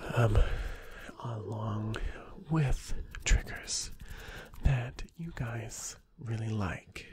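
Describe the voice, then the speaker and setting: Whispering quietly at a very slow pace with long, frequent pauses, a man is heard in a dry sound with no echo over light background noise. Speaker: ASMR creator. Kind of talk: ASMR whisper, close-mic, sleep-inducing. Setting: video, close to microphone. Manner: whispery, hushed, slow, soothing; repetitive, lulling, intimate. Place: home room. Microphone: studio mic.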